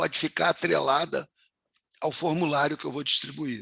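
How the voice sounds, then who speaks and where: Recorded very cleanly against a silent background, a man with a fairly high pitch has a bright, sharp tone with vocal fry, in a dry, close sound with no echo. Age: 70s. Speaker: university professor. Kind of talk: lecture.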